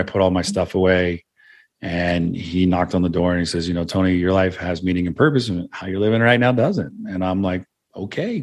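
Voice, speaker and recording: An ordinary speaking voice from a man with an American accent, fairly quick pace, ordinary pitch variation, and a quiet background. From California, Santa Cruz. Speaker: entrepreneur and podcast host. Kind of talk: interview conversation.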